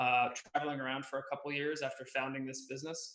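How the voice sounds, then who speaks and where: Audible room echo follows a man who talks at a fairly quick pace. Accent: American. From United States. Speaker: agency founder, Amazon advertising expert. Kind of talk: webinar interview.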